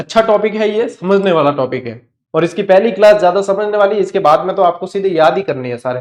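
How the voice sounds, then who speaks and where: In a Rajasthani accent, a man with a high pitch speaks at a moderate pace with lively intonation and hardly any pauses. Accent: Rajasthani Hindi, Marwari with Godwari touch. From Rajasthan, Marwar (Godwar area). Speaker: online exam-prep teacher. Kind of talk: online lecture. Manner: conversational, repetitive drilling.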